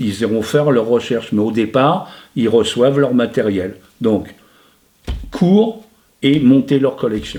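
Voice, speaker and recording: A man's dark, mellow voice at a very slow pace, broken by long, frequent pauses. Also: medium pitch for a man, ordinary pitch variation. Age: 70s. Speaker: retired teacher and stamp collector. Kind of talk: interview. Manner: hesitant, frequent fillers.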